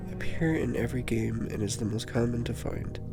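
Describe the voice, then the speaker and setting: A man's fairly low voice with ordinary pitch variation at a moderate pace, music in the background. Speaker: ASMR creator. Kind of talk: ASMR wiki reading. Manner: gentle, soft-spoken.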